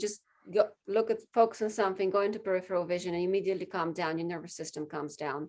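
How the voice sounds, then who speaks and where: At a very fast pace, a woman talks with medium pitch. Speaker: sales coach. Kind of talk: group coaching session.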